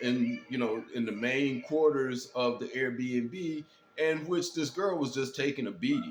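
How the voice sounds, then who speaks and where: A man with an American accent, medium-pitched and fairly slow, over background music. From Detroit, US Midwest. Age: 60s. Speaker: commentary vlogger. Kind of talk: casual monologue commentary. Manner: hesitant, many fillers and repeats.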